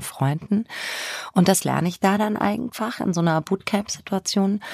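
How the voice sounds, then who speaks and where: The sound is close and dry, with no echo. A dark, mellow tone comes through. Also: woman. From Germany, Spessart (northern Bavaria). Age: 50s. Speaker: crime novelist. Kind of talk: interview conversation.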